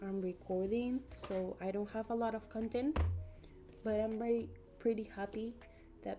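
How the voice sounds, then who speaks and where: A woman with a Spanish accent speaks at a fairly high pitch and a moderate pace, with fairly even intonation. She leaves long, frequent pauses, with music in the background. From Peru. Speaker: YouTube colorist streamer. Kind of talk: casual livestream chat. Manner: halting.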